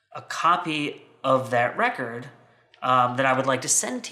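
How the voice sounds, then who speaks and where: This man has a plain, everyday voice with a fairly high pitch. He speaks in an American accent at a moderate pace. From United States. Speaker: vinyl collector video host. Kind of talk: casual unboxing chat. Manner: rambling, conversational.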